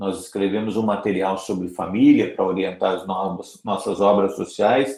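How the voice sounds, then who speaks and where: A man speaks at a moderate pace with hardly any pauses and ordinary pitch variation. It is a plain, everyday voice, fairly low in pitch. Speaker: Salesian priest giving a formation talk. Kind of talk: online formation lecture.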